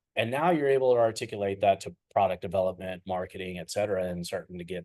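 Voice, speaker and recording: Using an ordinary speaking voice, a man speaks at a fairly quick pace with a fairly low pitch. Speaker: business consultant. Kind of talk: live webinar talk. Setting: online livestream.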